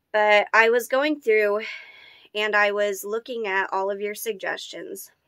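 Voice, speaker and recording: Speaking at a fairly slow pace, a woman has a fairly high pitch and a bright, sharp tone. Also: quiet background. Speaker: doll-customizing YouTuber; doll channel vlogger. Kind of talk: casual vlog. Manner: chatty with many fillers. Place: home room. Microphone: phone near.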